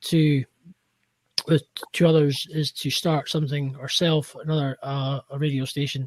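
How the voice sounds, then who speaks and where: A man speaks at a moderate pace and a fairly high pitch, somewhat breathy and in a monotone, flat way. The sound is dry and close, with no echo. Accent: Scottish. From Scotland. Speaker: podcaster and cleaning business owner. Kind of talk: casual chat. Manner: halting.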